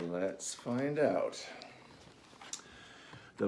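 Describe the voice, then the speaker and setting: Speaking at a very slow pace, a man keeps to a medium pitch. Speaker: picture book author reading to children. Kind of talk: children's picture book read-aloud story time. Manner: friendly, conversational, addressing kids directly.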